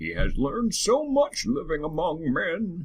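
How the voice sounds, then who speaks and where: A man in a put-on character voice, pitched high. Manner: wise, earnest.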